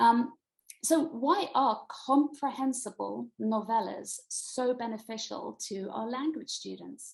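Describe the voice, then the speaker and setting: A woman speaks very slowly with a British accent. Her loudness swings widely. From Britain. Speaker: middle school Latin teacher and author. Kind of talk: online presentation. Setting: video call.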